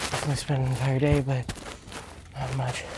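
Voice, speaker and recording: The voice is soft-spoken. Noticeable background noise runs underneath. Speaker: vlogger. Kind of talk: casual vlog monologue while cycling. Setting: outdoors on a bike.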